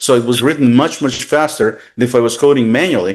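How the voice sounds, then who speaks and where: With a medium-pitched voice and ordinary pitch variation, a man talks at a fairly quick pace against a quiet background. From Russia. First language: Russian. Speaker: tech consultant. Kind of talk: interview. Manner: halting.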